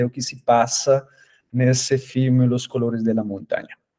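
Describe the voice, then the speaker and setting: Dark and mellow in tone, the voice moves at a moderate pace with a dry, close sound and no echo. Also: man. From Colombia. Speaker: academic researcher. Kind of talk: lecture. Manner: halting, many fillers.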